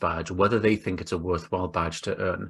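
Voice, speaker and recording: A somewhat breathy man with an English accent at a very fast pace. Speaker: webinar panelist, credentialing consultant. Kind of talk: online presentation.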